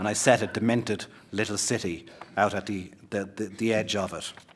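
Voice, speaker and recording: A man speaks in an Irish accent at a fairly low pitch. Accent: Irish accent, his own. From Ireland, Limerick and Cork. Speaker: novelist. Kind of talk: author reading and talk. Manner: repeats words, hesitant.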